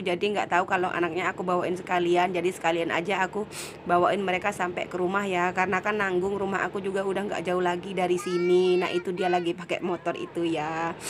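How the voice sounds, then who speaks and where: A woman at medium pitch, talking at a very fast pace in a monotone, flat intonation, amid noticeable background noise. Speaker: vlogger. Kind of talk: vlog voice-over narration. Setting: dubbed voice-over. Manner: casual.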